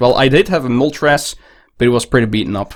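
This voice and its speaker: Moving at a fairly quick pace, a man with a Dutch accent speaks at a medium pitch with ordinary pitch variation. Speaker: card collector YouTuber. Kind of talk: unboxing show-and-tell. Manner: hesitant, with fillers.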